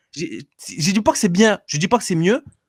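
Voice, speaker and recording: A man with a high pitch, on a very clean recording with a silent background. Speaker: live stream caller. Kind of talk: heated debate. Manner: loud; fast, stammering.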